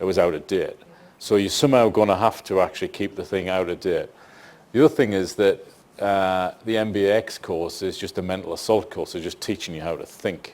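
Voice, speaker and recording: With a fairly quick pace and fairly even intonation, a man talks at a fairly low pitch. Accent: northeast English. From northeast England. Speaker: senior public servant. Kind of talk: panel Q&A discussion.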